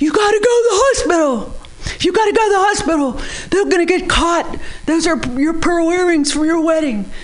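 A woman's put-on character voice at a fairly quick pace, over noticeable background noise. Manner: screaming in panic.

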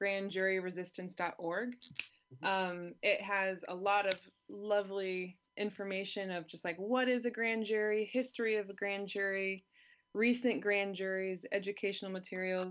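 A woman with a normal speaking voice keeps a fairly even intonation at a medium pitch and moderate pace. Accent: American. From California. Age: 30s. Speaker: activist and author. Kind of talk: interview.

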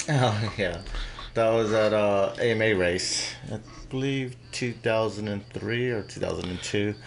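A man with fairly low pitch and fairly even intonation at a very slow pace, with audible room echo. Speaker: motorcycle racer. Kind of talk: casual interview. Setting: radio studio. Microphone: too far from the mic.

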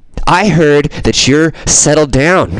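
A man puts on a character voice with a fairly high pitch. Light background noise can be heard. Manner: unhinged, bitter.

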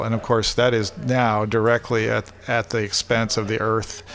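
Noticeable background noise sits behind this recording. A man talks at medium pitch in a monotone, flat intonation. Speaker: university lecturer. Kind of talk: casual chat. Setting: studio.

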